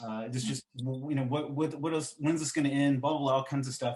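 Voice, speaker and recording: A somewhat breathy man's voice, fairly high in pitch, with fairly even intonation. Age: 40s. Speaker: podcast host. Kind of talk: casual chat. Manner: halting, stumbling over words.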